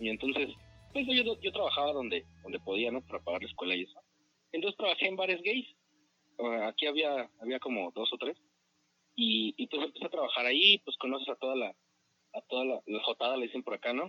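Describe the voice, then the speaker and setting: A man at a fairly quick pace, with long, frequent pauses. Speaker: podcast co-host. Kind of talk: casual chat.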